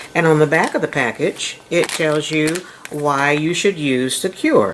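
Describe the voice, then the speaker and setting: The speech proceeds at a moderate pace. Noticeable background noise runs underneath. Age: 70s. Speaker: home cooking channel host. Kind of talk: cooking tutorial. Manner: casual, chatty.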